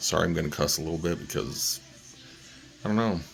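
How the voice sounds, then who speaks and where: A quiet man's very deep, low voice amid noticeable background noise. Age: 40s. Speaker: vlogger. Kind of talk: personal video update. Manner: halting.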